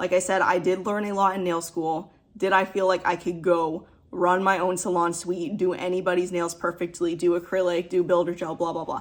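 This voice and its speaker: The woman's pitch is fairly low and her intonation monotone and flat. She keeps a moderate pace. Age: 20s. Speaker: nail technician. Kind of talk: casual vlog advice talk.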